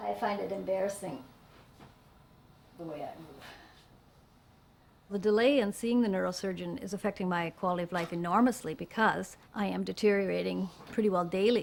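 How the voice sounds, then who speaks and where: Delivered at a fairly quick pace with ordinary pitch variation, the speech has big swings in loudness and long, frequent pauses. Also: woman, medium pitch for a woman. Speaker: patient. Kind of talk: testimony.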